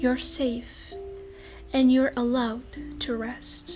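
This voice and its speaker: A soft-spoken woman talks at a very slow pace in a gentle tone. Music plays in the background. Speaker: English teacher. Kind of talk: slow English sleep talk. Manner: soft-spoken, slow, gentle.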